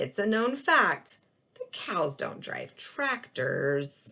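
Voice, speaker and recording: A put-on character voice from a woman, fairly high in pitch and very slow in pace. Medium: read story. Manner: fussy, exasperated.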